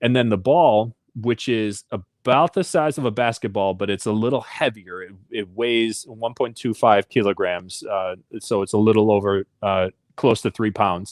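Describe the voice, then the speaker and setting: A man with an Upper Midwest accent, medium pitch and ordinary pitch variation, in dry, close sound with no echo on a very clean recording with a silent background. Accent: Upper Midwest American. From southwest Michigan, rural. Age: 30s. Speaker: Paralympic athlete. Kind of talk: interview.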